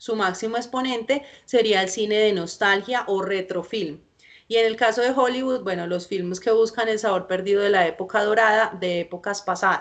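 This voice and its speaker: With fairly level intonation, a woman's medium-pitched voice moves along at an unhurried, moderate tempo. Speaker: film lecturer. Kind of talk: lecture. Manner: halting.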